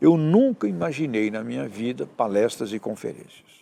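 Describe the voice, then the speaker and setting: Lively intonation marks a man's medium-pitched voice at a moderate pace. His tone is dark and mellow. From Brazil, Santos (São Paulo coast). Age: 60s. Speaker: professor and author. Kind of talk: interview.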